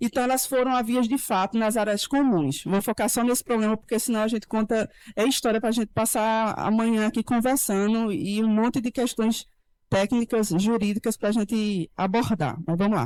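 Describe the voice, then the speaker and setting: In a very clean recording with a silent background, a woman talks at a fairly high pitch with very even loudness and ordinary pitch variation, the sound dry and close with no echo. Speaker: lawyer. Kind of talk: panel talk. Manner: fast; animated.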